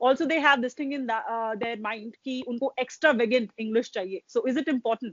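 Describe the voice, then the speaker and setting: A woman talks in an Indian accent at a fairly quick pace. Her pitch is high, with ordinary pitch variation. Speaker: exam coaching interviewer. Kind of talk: interview. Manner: mixes Hindi and English.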